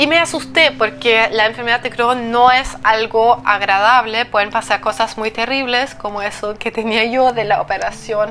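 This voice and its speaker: A woman with a German accent, a fairly high pitch and ordinary pitch variation, over noticeable background noise. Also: moderate pace, hardly any pauses. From eastern Germany. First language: German (speaking Spanish). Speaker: digestive health coach. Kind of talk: solo podcast monologue.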